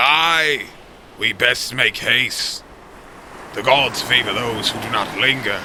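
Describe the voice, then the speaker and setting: In a put-on character voice, the speaker goes at a fairly slow pace with long, frequent pauses and ordinary pitch variation over clear background noise. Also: man, medium pitch for a man. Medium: audio drama. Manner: loud, urgent.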